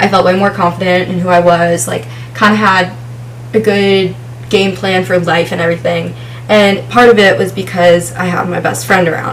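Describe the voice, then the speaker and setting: Lively intonation from a woman with fairly low pitch at a moderate pace, amid audible room echo and noticeable background noise. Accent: American. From New Jersey. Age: 20s. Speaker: vlogger. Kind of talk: casual chat. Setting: home, filming with ring light.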